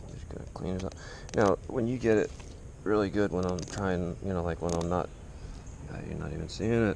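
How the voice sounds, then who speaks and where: At a fairly quick pace with long, frequent pauses and ordinary pitch variation, the voice sounds dry with no echo over light background noise. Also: man, very deep, low pitch for a man. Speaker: fishing video creator. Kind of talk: casual tutorial. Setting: outdoors. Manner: casual, rambling. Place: garden. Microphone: camera far.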